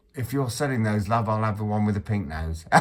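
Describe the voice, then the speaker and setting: This man's pitch is fairly low. Background noise is noticeable in the clip. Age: 60s. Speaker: vlogger. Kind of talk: casual monologue. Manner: halting, repetitive.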